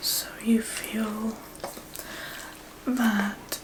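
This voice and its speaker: A soft-spoken woman, fairly high in pitch, with a calm, gentle tone and noticeable background noise. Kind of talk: ASMR therapy role play. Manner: soft-spoken, calm, gentle.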